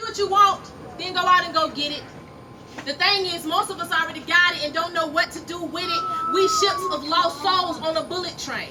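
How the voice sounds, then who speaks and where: Projecting her voice over noticeable background noise, a woman speaks at an extremely high pitch and a fairly quick pace with fairly even intonation. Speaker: spoken word poet. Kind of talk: spoken word poetry performance. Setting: live at a cafe open mic.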